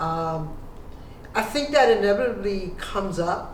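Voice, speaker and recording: Speaking fairly slowly, a woman keeps a medium pitch with ordinary pitch variation. The recording has audible room echo and noticeable background noise. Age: 60s. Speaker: photographer. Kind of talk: casual chat. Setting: video call.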